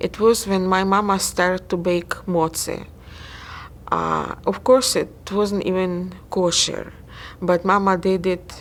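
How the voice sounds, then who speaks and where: With a Russian accent, a woman speaks at a medium pitch in a monotone, flat intonation. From Ukraine. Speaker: interviewee. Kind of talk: oral history interview. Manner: halting.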